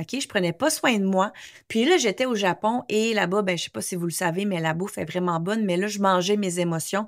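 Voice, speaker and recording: A woman speaks at a moderate pace with lively intonation and a medium pitch, recorded very cleanly against a silent background. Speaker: English coach and podcast host. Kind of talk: casual monologue podcast; sales pitch. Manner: animated.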